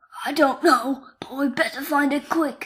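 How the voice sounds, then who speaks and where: A woman puts on a raspy character voice, high in pitch. She keeps a moderate pace with monotone, flat intonation. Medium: read story.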